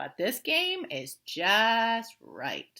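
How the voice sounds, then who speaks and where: A woman uses a put-on character voice at a fairly high pitch. Her pitch swings very widely. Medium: read story. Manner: picky, judging everything.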